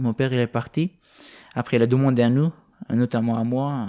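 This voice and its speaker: Recorded very cleanly against a silent background with a dry, close sound and no echo, a man speaks at a moderate pace and medium pitch with a dark, mellow tone and ordinary pitch variation. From Afghanistan. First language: not French, learned it as a teen (speaking French). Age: 20s. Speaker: young refugee. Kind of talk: interview. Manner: halting, many hesitations.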